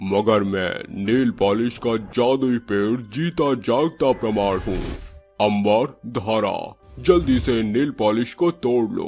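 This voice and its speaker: Over faint background music, a cartoonish character voice speaks at a very slow pace. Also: man, medium pitch for a man. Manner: solemn, gentle.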